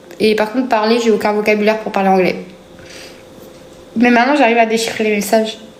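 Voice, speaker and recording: A woman with a fairly high voice speaks at a fairly quick pace, with audible room echo and noticeable background noise. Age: 20s. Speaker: live streamer. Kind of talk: casual chat. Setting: livestream. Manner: hesitant, filler-heavy.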